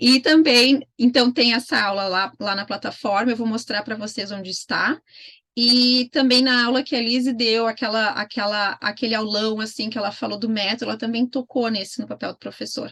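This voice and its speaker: Her voice is fairly high for a woman, bright and sharp in tone, and her intonation stays fairly even. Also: moderate pace. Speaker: homeschooling mentor. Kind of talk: online mentoring session.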